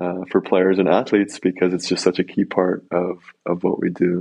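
Here a man talks with an American accent at a moderate pace. His pitch is very deep and low. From US, Colorado. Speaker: professional volleyball player and author. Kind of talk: casual interview.

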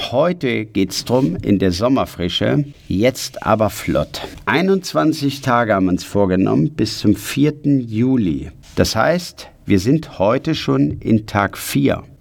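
At a very slow pace, a man speaks at medium pitch with very wide pitch swings. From Ruhr area, Germany. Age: 50s. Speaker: personal development coach. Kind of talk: motivational podcast monologue. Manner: energetic.

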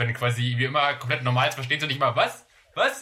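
Against noticeable background noise, a man talks very fast at a medium pitch with monotone, flat intonation. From Germany, various places. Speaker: podcast co-host. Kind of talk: casual chat. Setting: remote call.

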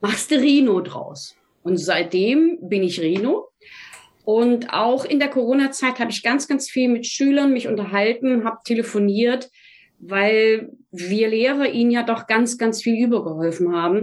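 A woman speaks at a fairly slow pace in a fairly high pitch, with a normal speaking voice and lively intonation. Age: 60s. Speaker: math teacher. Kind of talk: interview conversation.

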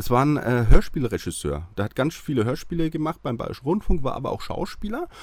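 Speaking at a fairly quick pace with hardly any pauses, a man has a fairly high pitch and vocal fry. His pitch swings very widely. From Franconia, Bavaria (near Hassfurt). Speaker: TV nostalgia expert. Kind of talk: casual interview.

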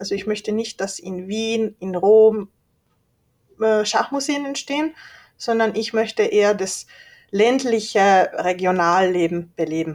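A fairly high-pitched woman speaks fairly slowly with lively intonation and long, frequent pauses. The recording is very clean, the background silent. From Austria and Hungary (born in Leoben, Styria). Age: 30s. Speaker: chess museum director. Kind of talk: interview.

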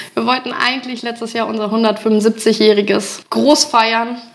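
A woman talks at a fairly slow pace with a fairly high pitch. Noticeable background noise runs underneath. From Holtensen, Germany. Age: 30s. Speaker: village club chairwoman. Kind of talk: casual interview.

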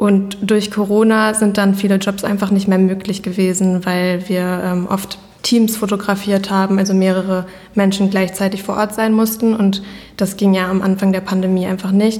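A woman speaks at medium pitch and a moderate pace, her intonation monotone and flat and her loudness very even. Noticeable background noise and audible room echo fill the recording. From Germany, Iserlohn. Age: 20s. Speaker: fashion brand founder. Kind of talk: interview conversation. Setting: office.

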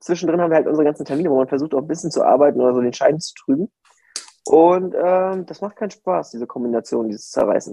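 A man speaks very fast in a fairly high pitch with a dark, mellow tone. His intonation is lively. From northern Germany, Mecklenburg-Vorpommern. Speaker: podcast co-host. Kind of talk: casual chat. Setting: remote from home.

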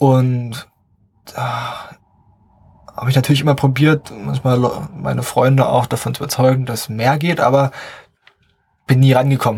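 Monotone, flat delivery at a moderate pace, broken by long, frequent pauses. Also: man, medium pitch for a man. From southern Brandenburg, eastern Germany. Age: young. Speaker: podcast host, business student. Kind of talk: casual solo podcast monologue.

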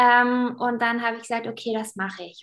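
A fairly high-pitched woman at a fairly quick pace. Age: 20s. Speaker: teacher and former athlete. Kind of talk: interview.

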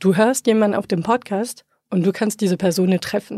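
A woman's dark, mellow, medium-pitched voice at a moderate pace with fairly even intonation, dry and close with no echo, in a very clean recording with a silent background. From France. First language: French (speaking German). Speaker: podcaster. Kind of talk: interview conversation. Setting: studio.

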